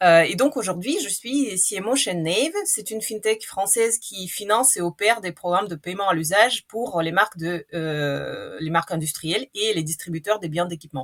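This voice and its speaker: Speaking at a moderate pace with hardly any pauses, a woman with a slight Russian accent uses lively intonation at a medium pitch. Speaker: marketing executive. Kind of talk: podcast interview. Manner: hesitant with fillers.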